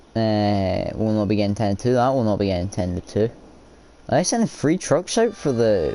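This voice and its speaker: A man with a Scottish accent talks at a moderate pace and medium pitch. His tone is animated and his intonation lively. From Scotland. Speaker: gamer streamer. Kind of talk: gameplay commentary. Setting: live stream. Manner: casual, animated.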